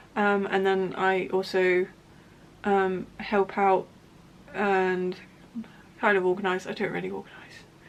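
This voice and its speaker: A woman's fairly slow, monotone, flat delivery in a Somerset accent, with long, frequent pauses. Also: medium pitch for a woman. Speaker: knitting podcaster and yarn dyer. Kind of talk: casual chat. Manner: halting, many fillers and restarts.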